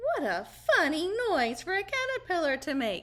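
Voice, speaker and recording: A put-on character voice comes out squeaky, with very wide pitch swings. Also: woman. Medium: read story.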